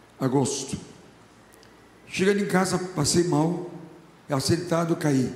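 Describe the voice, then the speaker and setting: Amid audible room echo, a man with a high pitch speaks fairly slowly with fairly even intonation. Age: 70s. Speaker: pastor. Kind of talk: sermon. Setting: church.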